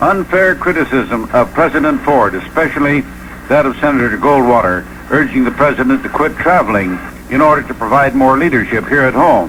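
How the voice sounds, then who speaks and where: A man in an American accent speaks at a fairly quick pace, with noticeable background noise behind him. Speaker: radio news broadcaster. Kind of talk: radio newscast.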